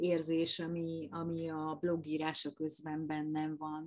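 Against a quiet background, a woman speaks at a fairly slow pace. Her pitch is very deep and low. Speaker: florist, gardener and food blogger. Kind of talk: interview. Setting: virtual studio. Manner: halting, many fillers and repetitions.

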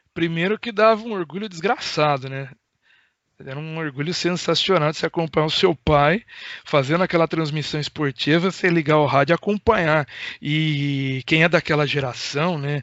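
A man speaks in an ordinary speaking voice at a moderate pace. His pitch is fairly high, with ordinary variation. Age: 30s. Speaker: radio journalist. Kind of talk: casual interview.

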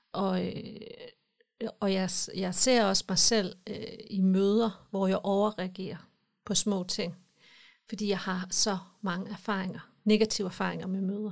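A woman speaks at a medium pitch and a very slow pace, with long, frequent pauses and a monotone, flat intonation. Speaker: podcast host. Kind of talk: casual chat. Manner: emotional, gets worked up.

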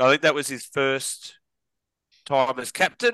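A man with an Australian accent speaks at a moderate pace in a bright, sharp tone with ordinary pitch variation, the sound dry and close with no echo and the background quiet. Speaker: podcast co-host. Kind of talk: casual chat.

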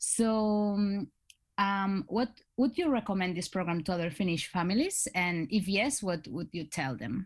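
A woman talks with a Spanish accent at a fairly slow pace. The background is quiet. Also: medium pitch for a woman. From Spain. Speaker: student ambassador, podcast host. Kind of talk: podcast interview.

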